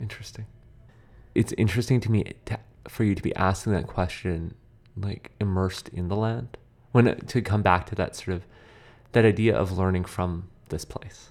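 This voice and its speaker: At a moderate pace, the speaker keeps a fairly even intonation and leaves long, frequent pauses in a very clean recording with a silent background. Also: man. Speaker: radio host. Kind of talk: radio interview. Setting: studio.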